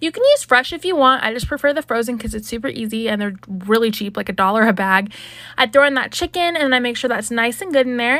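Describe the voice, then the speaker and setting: A woman talks at a very fast pace with a high pitch. Her tone is bright and sharp and her intonation is lively. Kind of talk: cooking tutorial. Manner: casual, chatty.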